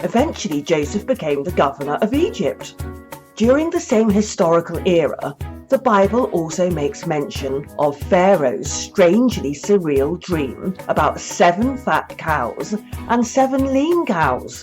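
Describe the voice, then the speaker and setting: Over music in the background, a woman at a medium pitch speaks fairly slowly, her pitch swinging very widely. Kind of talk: podcast essay narration.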